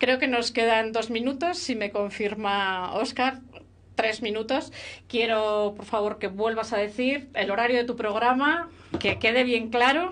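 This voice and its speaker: A woman talks at a fairly slow pace in an unremarkable speaking voice. Her pitch is fairly high, with ordinary variation. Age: 50s. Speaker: radio host. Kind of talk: casual chat.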